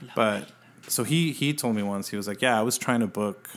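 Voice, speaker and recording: A man with an unremarkable speaking voice talks at a fairly quick pace, his pitch fairly low. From El Paso, Texas. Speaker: music writer and editor. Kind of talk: casual interview.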